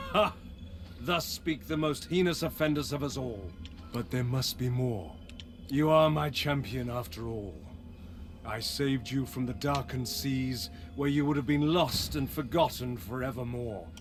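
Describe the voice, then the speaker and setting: Putting on a character voice, a man speaks at a medium pitch and a moderate pace over clear background noise. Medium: video game. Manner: haughty, commanding, theatrical.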